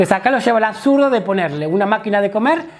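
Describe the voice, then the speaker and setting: This man talks with lively intonation. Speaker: comedy teacher. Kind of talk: lecture. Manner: fast.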